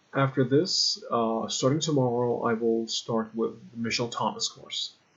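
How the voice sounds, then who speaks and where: The speaker is a man with a medium pitch. He talks at a fairly slow pace. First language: Persian. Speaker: language learner vlogger. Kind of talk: casual product review. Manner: halting, with fillers.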